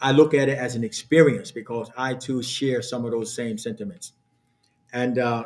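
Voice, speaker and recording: The speaker has an American accent and a moderate pace. Intonation stays fairly even. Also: man, medium pitch for a man. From born North Carolina, grew up New York and New Jersey. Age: 60s. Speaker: imam. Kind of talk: lecture. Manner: halting, many fillers.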